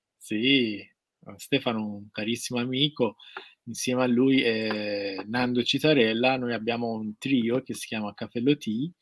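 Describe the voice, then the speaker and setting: The speaker has a Persian accent and talks at a fairly slow pace with fairly even intonation and big swings in loudness. The sound is dry with no echo, and the background is quiet. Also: man, medium pitch for a man. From Iran. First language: Persian (speaking Italian). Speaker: guest. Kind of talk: casual livestream interview. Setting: video call from his studio. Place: workshop. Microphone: webcam.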